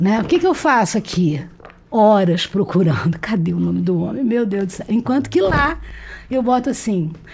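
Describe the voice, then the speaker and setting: A somewhat breathy woman's voice at a medium pitch and moderate pace, with very wide pitch swings. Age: 60s. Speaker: retired history professor and publisher. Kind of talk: interview conversation. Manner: talkative, nonstop; halting, repeats words.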